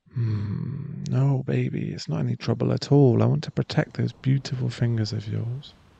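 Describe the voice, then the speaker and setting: A man at a moderate pace with hardly any pauses, dry, close sound with no echo, and noticeable background noise. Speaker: ASMR performer. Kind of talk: ASMR boyfriend roleplay, whispered scripted audio drama. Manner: affectionate, gently teasing and reassuring.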